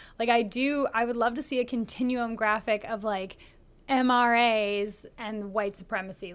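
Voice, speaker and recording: A woman with a Canadian accent has a fairly high pitch. She talks at a moderate pace in a normal speaking voice. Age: 30s. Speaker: podcast co-host. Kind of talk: casual chat. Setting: studio, being filmed.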